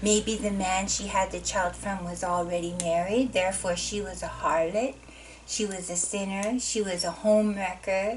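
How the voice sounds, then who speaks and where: Fairly even intonation from a woman at medium pitch, moderate pace, noticeable background noise. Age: 50s. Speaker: professor. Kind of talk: lecture. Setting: recorded course video.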